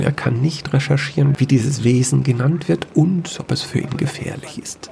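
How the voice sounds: A man's dark, mellow voice with vocal fry at a fairly slow pace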